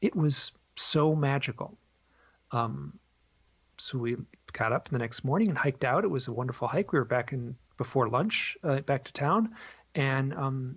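The speaker is a man whose voice sits at a fairly high pitch. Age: 50s. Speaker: author and illustrator. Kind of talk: interview. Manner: halting.

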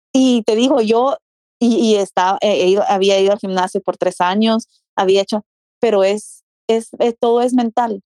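A woman speaks at a fairly slow pace in a fairly high pitch with a dark, mellow tone. Her intonation is fairly even, her loudness very even, and the sound is dry and close with no echo. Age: 30s. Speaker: fitness enthusiast. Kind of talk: casual interview.

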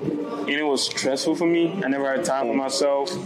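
A man talks at a moderate pace with a fairly high pitch and ordinary pitch variation. Noticeable background noise and audible room echo are present. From Nigeria, Lagos. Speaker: nightlife business owner. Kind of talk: casual chat. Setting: in a lounge, recorded in person.

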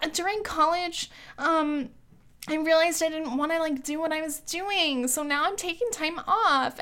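A put-on character voice comes through at a high pitch and a moderate pace. It sounds whiny. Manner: complaining.

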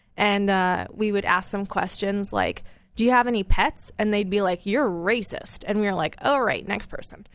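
This woman has a normal speaking voice, medium in pitch, moving at a moderate pace with fairly even intonation. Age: 20s. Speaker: podcast guest, TV show producer. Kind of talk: casual interview chat. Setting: studio.

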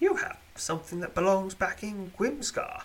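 A man does a put-on character voice at a high pitch and a moderate pace. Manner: calm and soothing.

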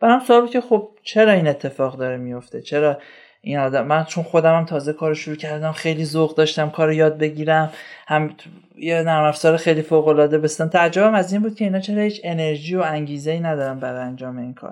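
This man's pitch is fairly high, and he talks very fast. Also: ordinary pitch variation. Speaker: software developer. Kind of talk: casual interview conversation. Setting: studio.

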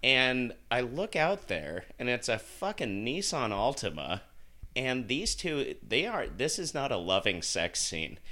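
A man with an American accent speaks at a fairly slow pace with very wide pitch swings, vocal fry and a bright, sharp tone. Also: medium pitch for a man. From Utah, Salt Lake City. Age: 30s. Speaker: podcast co-host, bar server. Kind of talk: casual chat.

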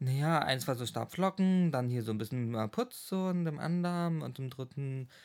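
A man talks with lively intonation and hardly any pauses, in an unremarkable speaking voice. The recording is very clean, with a silent background. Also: fairly high pitch for a man, moderate pace. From Schwerin, Mecklenburg-Western Pomerania, Germany. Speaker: psychology graduate. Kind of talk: casual chat.

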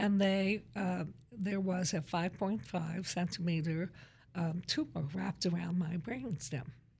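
A woman with an American accent, fairly low in pitch, with vocal fry, ordinary pitch variation, very even loudness and a fairly slow pace. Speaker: college president. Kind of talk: casual interview. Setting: studio.

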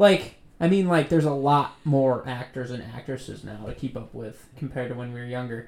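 A man with an unremarkable speaking voice, fairly quick pace, big swings in loudness and ordinary pitch variation. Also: medium pitch for a man. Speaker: podcast host. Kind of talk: casual banter.

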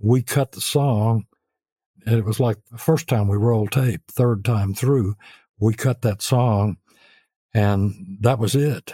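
Very slow, with long, frequent pauses, a man speaks in a Memphis accent at medium pitch, his somewhat breathy, dark, mellow tone showing ordinary pitch variation in a very clean recording with a silent background and a dry, close sound with no echo. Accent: Southern US (Memphis). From US South, Memphis. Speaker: songwriter and record producer. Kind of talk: interview.

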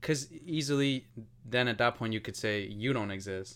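With an American accent and an unremarkable speaking voice, a man speaks at a moderate pace with ordinary pitch variation. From New York. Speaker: podcast host. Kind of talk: casual chat.

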